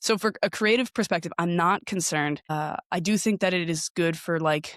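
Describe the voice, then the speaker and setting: A woman with an unremarkable speaking voice, fairly low in pitch with ordinary pitch variation, is heard in a very clean recording with a silent background and a dry, close sound with no echo. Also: moderate pace. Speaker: podcasting professional. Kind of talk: interview.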